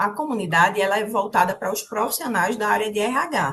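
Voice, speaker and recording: This woman speaks in a fairly high pitch with a strong northeastern Brazilian accent. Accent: strong drawled northeastern Brazilian. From Brazil, Northeast (Recife, Pernambuco; family from the sertão). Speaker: corporate trainer, HR community co-founder. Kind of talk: live-stream interview.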